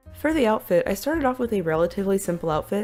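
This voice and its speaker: A woman's voice over music in the background. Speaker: artist. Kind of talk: casual voiceover narration.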